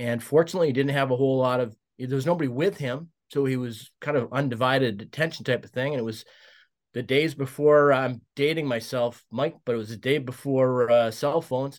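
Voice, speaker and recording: Fairly quick and fairly even in intonation, a man with a Canadian Prairies accent speaks at a medium pitch. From Saskatchewan, Canada (Regina). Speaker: former hockey team executive. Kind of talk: storytelling interview. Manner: hesitant, many fillers.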